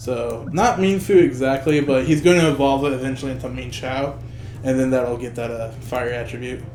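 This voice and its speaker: Over music in the background and with audible room echo, the speaker goes at a fairly quick pace with ordinary pitch variation. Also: man, medium pitch for a man. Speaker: gaming video creator. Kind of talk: gameplay commentary tutorial. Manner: casual, filler-heavy; stuttering, trips over words.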